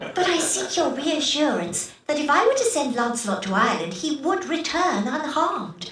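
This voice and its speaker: A woman's put-on character voice, high-pitched and theatrical, with very wide pitch swings, a moderate pace and slight echo. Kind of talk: archaic Elizabethan speech. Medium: video game. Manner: theatrical, falsely sweet.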